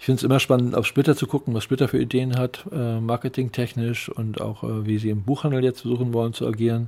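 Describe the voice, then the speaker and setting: Speaking at a fairly quick pace, this man has a dark, mellow tone. His pitch sits in the medium range, and his intonation is monotone and flat. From northern Germany, Lübeck. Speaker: comic publisher and letterer. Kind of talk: interview. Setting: publisher's office. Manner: halting, many fillers.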